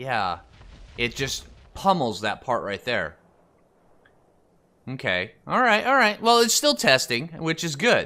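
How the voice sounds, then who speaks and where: A man's fairly slow speech with vocal fry, very wide pitch swings and long, frequent pauses. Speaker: gaming youtuber. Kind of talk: tutorial. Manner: hesitant, many fillers.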